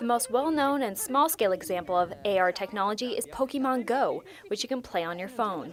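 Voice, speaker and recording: At a fairly quick pace, a woman with a high pitch speaks with very wide pitch swings. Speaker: television news reporter and anchor. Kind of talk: TV news reporter stand-up.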